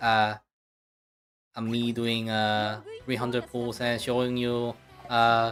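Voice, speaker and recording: This speaker has a Korean accent and talks at a very slow pace, leaving long, frequent pauses. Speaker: video game streamer. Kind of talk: casual live stream chat. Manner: halting, many fillers and repeats.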